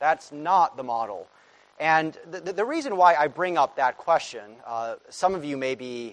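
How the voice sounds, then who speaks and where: A man speaks at a fairly slow pace. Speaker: conference speaker. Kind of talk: interview answer. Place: church. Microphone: lapel.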